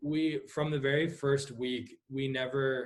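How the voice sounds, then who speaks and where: A man speaks at a medium pitch with a somewhat breathy voice. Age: 20s. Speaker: pastor. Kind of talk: casual chat. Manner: halting, many fillers.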